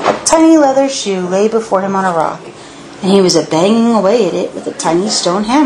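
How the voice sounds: The voice reads in a natural manner.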